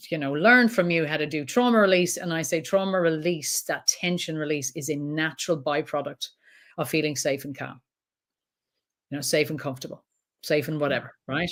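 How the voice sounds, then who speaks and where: The recording is very clean, with a silent background. A woman with an Irish accent and a very deep, low pitch talks at a fairly quick pace. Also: ordinary pitch variation. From Ireland. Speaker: trauma counsellor. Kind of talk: interview answer.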